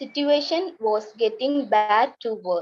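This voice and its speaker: A woman speaks with a Tamil accent. Her pace is fairly slow, and her pitch variation is ordinary. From Tamil family from Sri Lanka, raised in Indonesia. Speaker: refugee storyteller. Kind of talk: reading aloud.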